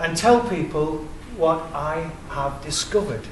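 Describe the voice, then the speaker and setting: A man with an English accent and fairly high pitch, amid noticeable background noise and audible room echo. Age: 60s. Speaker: independent researcher. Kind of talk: public presentation.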